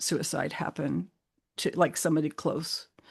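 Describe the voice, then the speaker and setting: Against a quiet background, a woman with an American accent speaks at a fairly slow pace with vocal fry. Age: 60s. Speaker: mental health advocate. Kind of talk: podcast interview. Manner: halting, many fillers and restarts.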